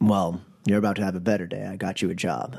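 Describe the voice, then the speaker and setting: A man puts on a raspy character voice with a very deep, low pitch. He speaks at a very fast pace with fairly even intonation. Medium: actual play. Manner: clipped, reserved.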